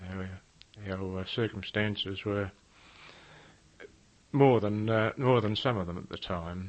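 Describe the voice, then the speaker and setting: A man at a fairly slow pace, fairly even in intonation, with long, frequent pauses. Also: fairly low pitch for a man. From Australia, Melbourne, Victoria. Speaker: war veteran. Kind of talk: oral history interview. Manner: halting.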